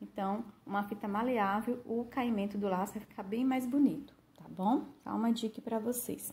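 In an unremarkable speaking voice, a woman talks at a moderate pace with a fairly high pitch and fairly even intonation. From Brazil. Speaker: craft tutorial youtuber. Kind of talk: tutorial. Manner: casual, warm, with many diminutives. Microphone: phone near.

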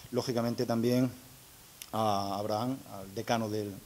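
Flat and monotone, a man talks with a fairly low pitch. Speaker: engineering school director. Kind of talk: formal speech at agreement signing. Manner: halting, with many fillers.

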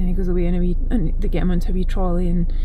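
A woman with a Scottish accent in a monotone, flat delivery, noticeable background noise behind her. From Scotland. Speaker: animal sanctuary owner. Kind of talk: casual talk to camera. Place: car. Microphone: phone near.

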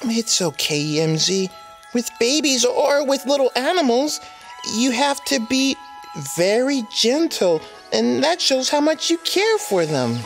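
A female-sounding, cartoonish character voice speaks at a high pitch and fairly slow pace. Clear music plays in the background. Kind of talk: preschool children's show. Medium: puppet.

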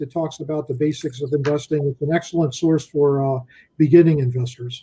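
Against a quiet background, a man speaks with a fairly high pitch and a dark, mellow tone. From US Northeast, Philadelphia. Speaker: investment officer; guest. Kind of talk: interview. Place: home room. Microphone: webcam.

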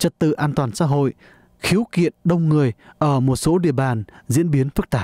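The voice has a dark, mellow tone and ordinary pitch variation, captured in a dry, close sound with no echo on a very clean recording with a silent background. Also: man. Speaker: radio news reporter. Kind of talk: news reading.

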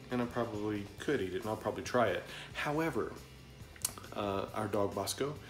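Clear music sounds in the background. Over it, a man speaks fairly quickly. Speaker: home vlogger. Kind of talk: casual vlog chat. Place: kitchen. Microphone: phone near.

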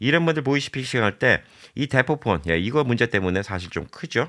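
Vocal fry from a man at a fairly quick pace, very wide pitch swings, very clean recording with a silent background. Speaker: YouTuber giving immigration advice. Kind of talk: informational vlog monologue. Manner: casual, conversational with filler words.

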